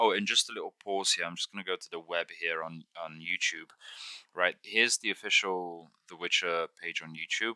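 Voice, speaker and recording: A man mumbles at a moderate pace in a very deep, low pitch with a bright, sharp tone and fairly even intonation. His loudness swings widely, and the sound is dry and close with no echo. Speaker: gaming tutorial youtuber. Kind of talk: tutorial. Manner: mumbling; halting.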